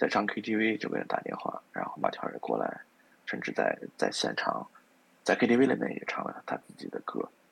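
Loudness swings widely as a man speaks at a moderate pace. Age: middle-aged. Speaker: music enthusiast. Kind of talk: casual chat.

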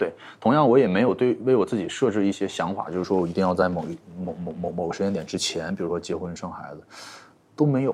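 Very deep, low pitch from a man at a very fast pace, with lively intonation and big swings in loudness. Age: 30s. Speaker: entrepreneur, plush toy brand founder. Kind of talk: casual interview. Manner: hesitant, many fillers and repetitions.

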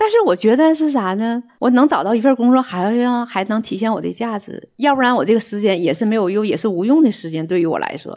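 With hardly any pauses, a woman talks at a fairly quick pace in a plain, everyday voice, her pitch fairly high. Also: lively intonation. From northeast China. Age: 60s. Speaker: retired accountant. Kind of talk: casual chat.

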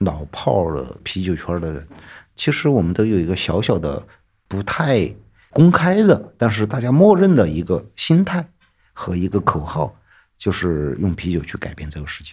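Recorded very cleanly against a silent background, a man with a very deep, low pitch speaks at a moderate pace, his intonation lively and his loudness swinging widely. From northeastern Chongqing (formerly Sichuan), small county town. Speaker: craft brewery founder and electronic musician. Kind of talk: casual interview.

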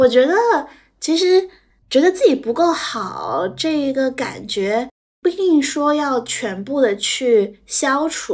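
A woman with a high voice whose pitch swings very widely. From Shanghai, China. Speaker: business analyst. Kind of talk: casual interview chat.

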